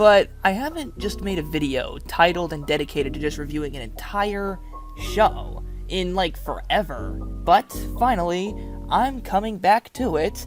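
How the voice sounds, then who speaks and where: Music runs behind this recording. A woman talks at a moderate pace. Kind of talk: online video review talk to camera. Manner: casual, conversational.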